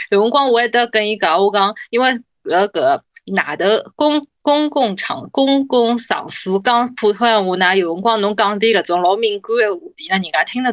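A woman's fairly high voice with a Shanghainese accent, lively intonation and a moderate pace, in a dry, close sound with no echo. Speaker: podcast co-host. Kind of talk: casual chat.

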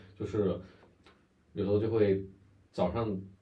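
In a room with audible echo, a man with a fairly low, somewhat breathy voice talks at a fairly slow pace. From Guangdong. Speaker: podcast co-host. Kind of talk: casual chat.

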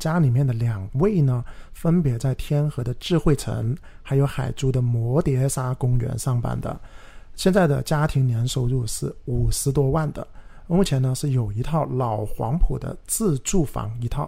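A man's somewhat breathy voice with a dark, mellow tone, medium pitch, ordinary pitch variation and moderate pace. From Guangzhou, southern China. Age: 30s. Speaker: real estate podcast host and agent. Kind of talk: casual chat.

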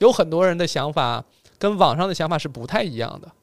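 An ordinary speaking voice from a man, fairly high in pitch, with lively intonation at a fairly quick pace. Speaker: podcast host. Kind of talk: casual chat. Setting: studio by a window on a cold snowy day.

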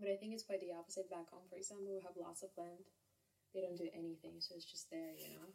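A woman's dark, mellow tone at a very fast pace, with fairly even intonation and big swings in loudness. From Kazakhstan. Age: 20s. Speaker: English tutor. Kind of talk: casual chat. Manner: laughs often.

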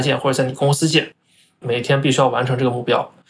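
A man talks very fast at a medium pitch. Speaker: finance professional. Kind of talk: interview.

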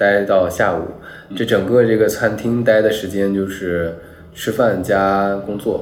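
Amid noticeable background noise and audible room echo, a man with a fairly low pitch speaks at a fairly slow pace with fairly even intonation. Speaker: digital nomad. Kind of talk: casual chat. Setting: outdoors in Bali.

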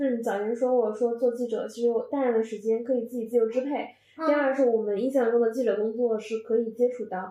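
This woman has a dark, mellow tone and a fairly high pitch, with a slight northeastern Chinese accent. She talks at a fairly quick pace with fairly even intonation. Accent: slight northeastern Mandarin. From Northeast China. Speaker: podcast host. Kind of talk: casual chat.

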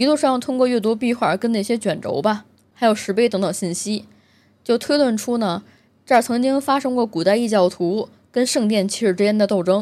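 Over a very clean recording with a silent background, a woman speaks at a fairly high pitch with a strong Beijing accent. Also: ordinary pitch variation, moderate pace. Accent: heavy Beijing. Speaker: gaming video host. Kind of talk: solo casual commentary monologue.

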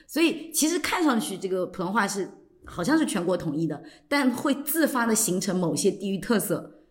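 A woman's medium-pitched, somewhat breathy voice moves at a moderate pace with very wide pitch swings. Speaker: podcast host. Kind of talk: casual chat.

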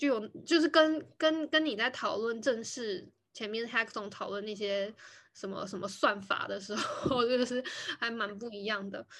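A woman with a fairly high voice and ordinary pitch variation keeps to a moderate pace. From Taiwan. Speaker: podcast host. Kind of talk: casual chat. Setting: video call recording.

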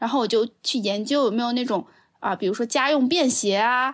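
A woman with a high pitch speaks at a fairly quick pace on a very clean recording with a silent background. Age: 30s. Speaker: podcast host, course producer. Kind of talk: casual chat.

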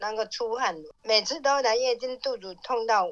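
A woman with a southern Fujian accent speaks in a bright, sharp tone with ordinary pitch variation. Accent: Minnan. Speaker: host's mother. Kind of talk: casual chat.

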